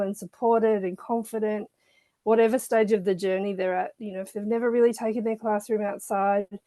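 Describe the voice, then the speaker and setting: A woman with a slight Australian accent talks at a fairly quick pace. Her medium-pitched voice stays monotone and flat. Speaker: children's author and nature educator. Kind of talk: interview. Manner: hesitant with fillers.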